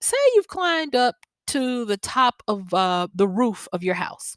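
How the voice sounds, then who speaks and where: With a Southern US accent, a woman speaks at a moderate pace with lively intonation, in a dry, close sound with no echo. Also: very clean recording, silent background. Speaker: podcast host and wisdom coach. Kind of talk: solo podcast monologue. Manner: conversational with frequent fillers.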